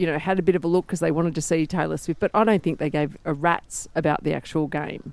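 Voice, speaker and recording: In an Australian accent, a woman with a fairly low pitch talks very fast with hardly any pauses and fairly even intonation, on a very clean recording with a silent background. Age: 40s. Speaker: sports reporter. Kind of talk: casual chat.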